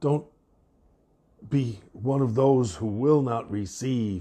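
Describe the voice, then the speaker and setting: At a very slow pace, a man speaks somewhat breathily at medium pitch. His tone is dark and mellow, with ordinary pitch variation. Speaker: devotional podcast host. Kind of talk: bible devotional.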